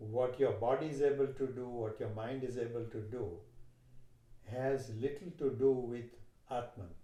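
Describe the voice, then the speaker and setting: A man with a Gujarati accent speaks at a moderate pace in a dark, mellow, somewhat breathy tone, with fairly even intonation, long, frequent pauses and audible room echo. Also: medium pitch for a man. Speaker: yoga teacher. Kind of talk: interview conversation.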